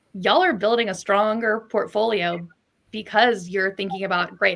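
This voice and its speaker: Here a woman talks fairly quickly with an American accent. She has an ordinary speaking voice and fairly even intonation. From United States. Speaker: podcast host, recruiting founder. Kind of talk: interview podcast conversation.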